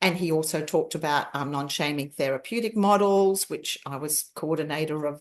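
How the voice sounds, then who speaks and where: Against a quiet background, a woman talks at a fairly quick pace in a very deep, low voice. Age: 60s. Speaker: family constellations facilitator. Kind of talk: interview conversation. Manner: animated.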